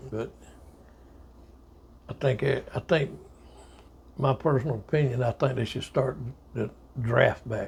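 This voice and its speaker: Speaking slowly with long, frequent pauses, a man in a Southern US accent shows vocal fry and fairly even intonation. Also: medium pitch for a man. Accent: Southern US (Georgia). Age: 70s. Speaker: army veteran. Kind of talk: oral history interview. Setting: at home.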